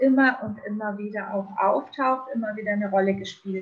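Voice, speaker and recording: A woman's ordinary speaking voice, fairly high in pitch, with fairly even intonation. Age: 50s. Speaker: shaman. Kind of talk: interview. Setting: video call from a balcony.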